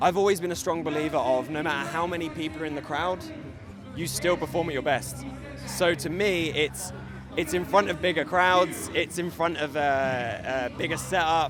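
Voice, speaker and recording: A man talks at a moderate pace, his fairly high pitch held in fairly even intonation. Music plays in the background, and audible room echo is present. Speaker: professional wrestler. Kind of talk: interview.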